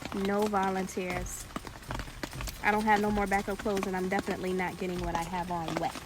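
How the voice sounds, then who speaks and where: Music plays in the background as a woman talks. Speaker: survival vlogger. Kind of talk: casual vlog. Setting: outdoors.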